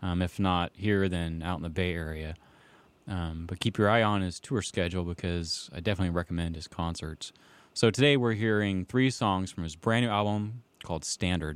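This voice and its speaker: Very deep, low male voice at a moderate pace, with ordinary pitch variation, in a very clean recording against a silent background. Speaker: radio host. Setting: studio. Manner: laid-back, rambling, filler-heavy with frequent 'um' and 'uh', easygoing.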